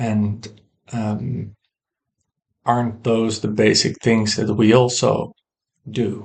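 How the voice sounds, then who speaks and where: A man with a non-native accent speaks very slowly in a fairly low, somewhat breathy voice. His intonation is monotone and flat, broken by long, frequent pauses. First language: not English. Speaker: woodworker sharing personal philosophy. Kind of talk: personal monologue to camera. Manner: halting, many fillers; reflective, slow.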